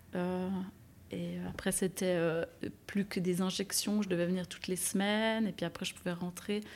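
In a very clean recording with a silent background, a woman talks at a fairly slow pace in a medium pitch, her intonation monotone and flat. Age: 30s. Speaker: nurse. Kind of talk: testimony.

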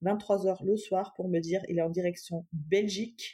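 Dark and mellow in tone, the voice moves at a very slow pace with monotone, flat intonation. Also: woman. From Germany, Cologne, Iranian parents. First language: German (speaking French). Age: 30s. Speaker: entrepreneur, footballer's wife. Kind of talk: interview, personal story.

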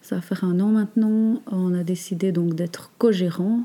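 A woman's fairly low, dark and mellow voice, calm and gentle in tone, with fairly even intonation. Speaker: natural cosmetics entrepreneur. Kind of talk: interview. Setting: meeting room next to workshop. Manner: calm, gentle; halting, many hesitations.

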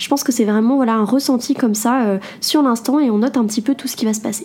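A woman's fairly high voice at a fairly quick pace, with noticeable background noise. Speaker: podcast host and entrepreneur blogger. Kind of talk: solo self-help podcast talk.

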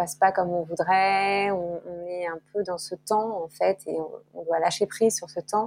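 Over music in the background, a woman speaks at a fairly slow pace and medium pitch with fairly even intonation. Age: 40s. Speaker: author. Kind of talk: interview. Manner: halting, many fillers and repetitions.

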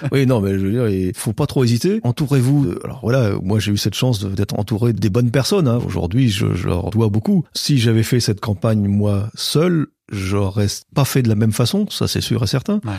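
Heard on a very clean recording with a silent background, a man speaks in a dark, mellow, somewhat breathy tone with ordinary pitch variation. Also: medium pitch for a man, moderate pace. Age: 50s. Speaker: western village owner, former IT director. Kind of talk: casual interview.

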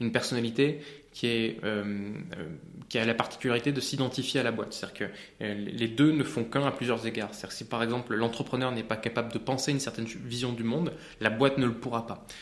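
This man talks at a fairly quick pace with fairly even intonation and a medium pitch, broken by long, frequent pauses. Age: 30s. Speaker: AI entrepreneur. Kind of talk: interview.

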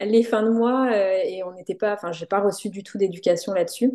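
A woman's medium-pitched voice, dark and mellow in tone, with fairly even intonation against a quiet background. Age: 30s. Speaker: graphic design business owner. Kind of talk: podcast interview.

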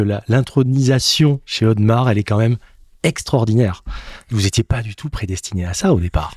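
An animated, somewhat breathy voice moves at a fairly quick pace with ordinary pitch variation, its dry, close sound having no echo on a very clean recording with a silent background. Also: man. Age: 40s. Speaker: podcast host. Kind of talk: interview.

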